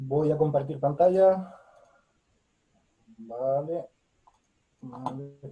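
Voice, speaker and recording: Heard with audible room echo, the somewhat breathy voice has a dark, mellow tone and moves very slowly, with long, frequent pauses and ordinary pitch variation. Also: man, fairly high pitch for a man. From Spain. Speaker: academic. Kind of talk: lecture.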